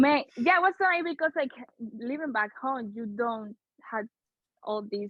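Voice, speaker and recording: A woman speaks with a Spanish accent. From Dominican Republic, Santo Domingo. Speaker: community media co-founder. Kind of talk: podcast interview. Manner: halting.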